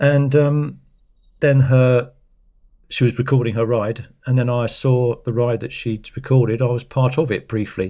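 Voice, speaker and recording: His tone comes across dark and mellow. The man's pitch is medium. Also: fairly even intonation, moderate pace. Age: 60s. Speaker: cycling vlogger. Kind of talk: casual chat. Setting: indoors at home. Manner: rambling, hesitant.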